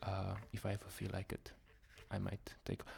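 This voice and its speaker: The voice is soft-spoken, with vocal fry. It moves at a moderate pace. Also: man. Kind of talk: soft-spoken ASMR book haul ramble to camera. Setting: close microphone at home. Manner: soft-spoken, rambling, friendly.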